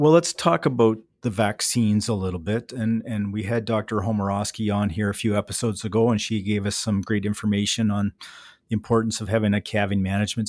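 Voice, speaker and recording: In an ordinary speaking voice, a man talks at a fairly low pitch with fairly even intonation, recorded very cleanly against a silent background with a dry, close sound and no echo. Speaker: veterinarian podcast host. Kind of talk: interview.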